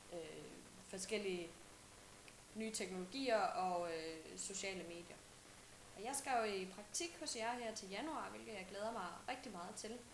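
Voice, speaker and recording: A woman's medium-pitched voice at a very slow pace, broken by long, frequent pauses, with audible room echo and noticeable background noise. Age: 20s. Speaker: student intern. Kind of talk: self-introduction video message. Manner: halting, many filler sounds.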